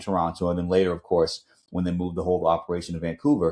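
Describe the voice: The tone is slightly mellow. The pace is fairly quick. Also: man.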